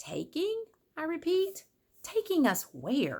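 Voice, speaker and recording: Using a put-on character voice, a woman speaks at a fairly slow pace and an extremely high pitch. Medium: read story.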